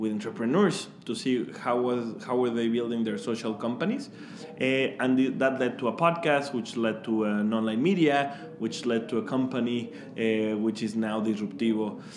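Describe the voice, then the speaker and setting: A man with a Mexican accent speaks at medium pitch and a moderate pace, with ordinary pitch variation. His tone is warm and enthusiastic, and there is noticeable background noise. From Mexico. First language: Spanish. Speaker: startup founder. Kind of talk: interview, casual chat. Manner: warm, enthusiastic.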